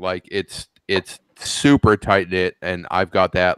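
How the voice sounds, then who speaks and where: A male voice is heard here. Its pitch moves with ordinary variation. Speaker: FPV drone pilot. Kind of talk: casual chat. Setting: video call. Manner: halting.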